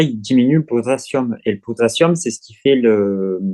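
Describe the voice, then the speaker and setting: A man speaks at a fairly slow pace in a dark, mellow tone and medium pitch, with lively intonation and a dry, close sound with no echo. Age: 40s. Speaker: eating disorder recovery client. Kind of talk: testimony. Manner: halting.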